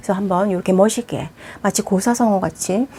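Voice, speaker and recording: A woman at a medium pitch, with ordinary pitch variation, is heard through noticeable background noise. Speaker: Vietnamese language teacher. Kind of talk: tutorial. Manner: fast.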